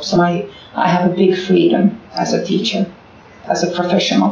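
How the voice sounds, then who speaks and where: Speaking in a Finnish accent, a woman talks at a moderate pace with a fairly low pitch and monotone, flat intonation. Room echo is audible, and there is noticeable background noise. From Finland. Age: 40s. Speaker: primary school teacher. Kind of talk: interview. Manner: halting.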